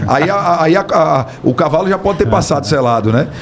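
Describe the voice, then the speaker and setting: A fairly high-pitched man with lively intonation against noticeable background noise. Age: 30s. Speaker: business owner, builder. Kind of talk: podcast interview.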